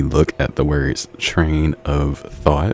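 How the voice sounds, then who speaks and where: Noticeable background noise accompanies a man speaking with a very deep, low pitch. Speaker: tarot reader. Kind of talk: tarot reading. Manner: fast; animated.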